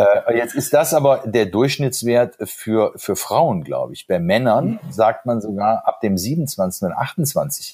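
Speaking at a very slow pace, a man barely pauses at all. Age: 50s. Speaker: lawyer and podcast host. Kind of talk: podcast interview. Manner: repetitive, stammering.

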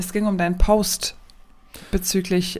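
The woman's intonation is flat and monotone. She speaks at a fairly slow pace. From Aachen area, Germany. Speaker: nurse, podcast co-host. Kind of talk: casual chat.

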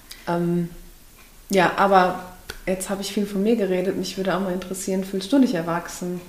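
In a room with audible echo, a woman of medium pitch speaks at a fairly quick pace in a monotone, flat intonation, with long, frequent pauses. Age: 20s. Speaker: podcast co-host. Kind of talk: casual chat.

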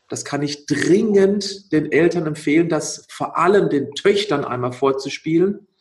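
This man has an ordinary speaking voice with a fairly high pitch and ordinary pitch variation. He talks at a fairly slow pace with hardly any pauses. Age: 40s. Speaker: nutrition expert and athlete. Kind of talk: interview.

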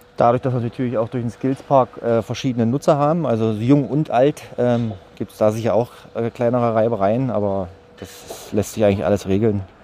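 Against noticeable background noise, a man of medium pitch speaks at a fairly quick pace. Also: ordinary pitch variation. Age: 40s. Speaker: site caretaker. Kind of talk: interview.

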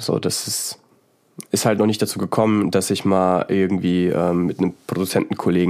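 With a very deep, low voice, a man speaks at a moderate pace and fairly even intonation. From Central Hesse, Germany. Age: 20s. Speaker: psytrance music producer. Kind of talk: casual interview.

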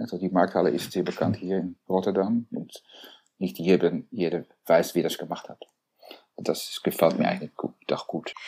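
Speaking at a moderate pace, a man uses a very deep, low voice with a dark, mellow tone. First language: Dutch (speaking German). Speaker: architect, co-founder of an architecture firm. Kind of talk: interview. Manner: halting, many fillers and repetitions.

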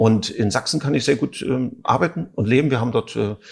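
Using vocal fry, a man speaks at a medium pitch with lively intonation. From East Berlin. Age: 50s. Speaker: actor and theatre director. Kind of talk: interview.

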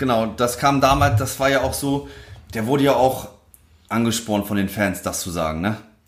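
In a room with audible echo, a man talks at a moderate pace at a medium pitch, with ordinary pitch variation. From northern Germany, Lüneburg Heath. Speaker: former footballer. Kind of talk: casual interview.

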